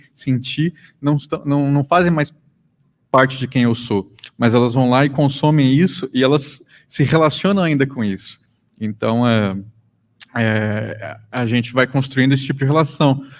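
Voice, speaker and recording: A man's medium-pitched voice with a Mato Grosso do Sul accent. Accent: Mato Grosso do Sul accent, strong rolled R. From Mato Grosso do Sul, Brazil. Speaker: podcaster and lecturer. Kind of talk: panel discussion.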